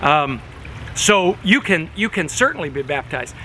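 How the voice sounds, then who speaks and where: Amid noticeable background noise, a man talks with a fairly high pitch. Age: 60s. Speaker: pastor. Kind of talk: informal talk to congregation on video. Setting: outdoors by a fish pond. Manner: casual, conversational.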